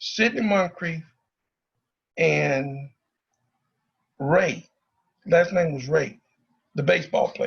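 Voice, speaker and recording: With a Southern US accent, a man speaks very slowly at a high pitch, pausing long and often. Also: ordinary pitch variation. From Arkansas (Pine Bluff). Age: 60s. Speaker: former student leader, speaker at forum. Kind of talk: public talk to students. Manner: animated.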